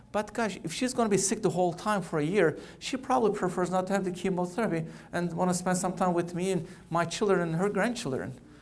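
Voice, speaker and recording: A man with a Turkish accent speaks at a high pitch with ordinary pitch variation. Audible room echo surrounds his voice. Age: 40s. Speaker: oncologist. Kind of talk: keynote speech. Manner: fast.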